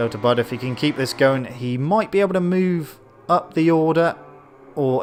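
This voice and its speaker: With music in the background, a man speaks in a British accent. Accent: British, noticeable. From Britain. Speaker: gaming streamer and race commentator. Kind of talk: live commentary. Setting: live stream. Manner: animated.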